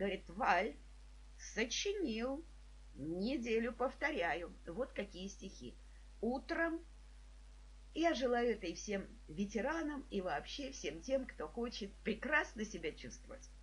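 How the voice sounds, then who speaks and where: A woman with a warm tone speaks at a very slow pace, leaving long, frequent pauses. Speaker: psychologist and trainer, video blogger. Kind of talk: personal tribute monologue. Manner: warm, emotional storytelling.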